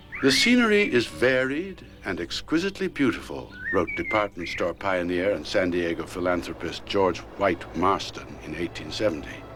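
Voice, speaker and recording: The speaker keeps a moderate pace with hardly any pauses. Background noise is noticeable. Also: man. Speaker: narrator. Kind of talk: documentary narration. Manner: emotive, genteel.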